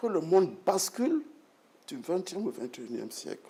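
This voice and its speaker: A man's high-pitched voice with a dark, mellow tone, very wide pitch swings and a fairly slow pace. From Burkina Faso, Bobo-Dioulasso. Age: 60s. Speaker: retired broadcast executive and writer. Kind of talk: interview.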